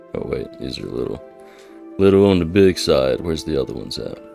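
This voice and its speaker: A man speaks in a calm, relaxed tone at a moderate pace with lively intonation, music playing in the background. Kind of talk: gameplay commentary.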